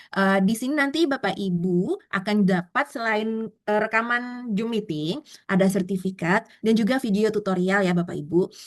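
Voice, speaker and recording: An unremarkable speaking voice from a woman, medium in pitch with ordinary variation, at a moderate pace with hardly any pauses and very even loudness. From South Kalimantan, Indonesia. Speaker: online Canva course instructor. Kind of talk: online class, live tutorial. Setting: Zoom meeting. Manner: casual, filler-heavy with frequent 'eh'.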